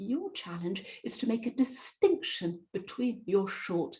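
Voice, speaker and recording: A woman speaks at a very slow pace in a somewhat breathy voice. Her pitch makes very wide swings. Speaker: presentation and voice coach. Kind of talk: webinar presentation. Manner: clearly articulated.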